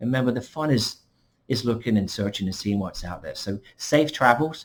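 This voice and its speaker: With an English accent, a man talks at a fairly quick pace, sounding somewhat breathy, with ordinary pitch variation. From England. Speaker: vacation club representative. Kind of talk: screen-share tutorial. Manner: casual, conversational.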